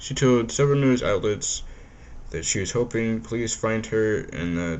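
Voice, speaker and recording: This man's voice sits at a medium pitch. Room echo can be heard around it. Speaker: true crime YouTuber. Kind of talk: scripted narration with casual asides. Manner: halting, stumbling over words.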